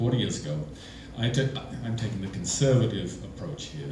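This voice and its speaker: Over noticeable background noise and audible room echo, a man with an English accent speaks with very wide pitch swings. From England. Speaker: storyteller. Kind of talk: live storytelling. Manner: animated, conversational.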